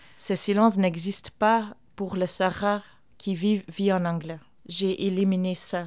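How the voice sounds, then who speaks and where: A woman with a Flemish accent speaks at a fairly slow pace and medium pitch. Her intonation is monotone and flat, on a very clean recording with a silent background. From Flanders, Belgium. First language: Flemish dialect / Dutch (speaking French). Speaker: theatre artist and performer. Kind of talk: interview. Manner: halting.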